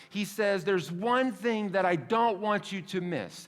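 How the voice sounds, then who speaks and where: A man's high-pitched voice with audible room echo. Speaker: pastor. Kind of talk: sermon. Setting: church. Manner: casual, conversational.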